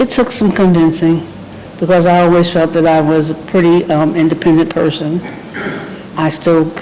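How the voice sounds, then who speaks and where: A moderate pace carries the talking. Behind it, background noise stands out. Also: woman. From New Jersey. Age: 60s. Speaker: home care client. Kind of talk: testimonial interview. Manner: casual, with hesitations.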